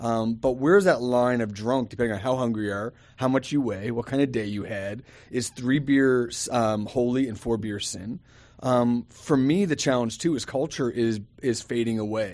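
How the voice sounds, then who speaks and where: An ordinary speaking voice from a man, medium-pitched and moderately paced. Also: ordinary pitch variation. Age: 40s. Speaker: pastor. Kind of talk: casual chat.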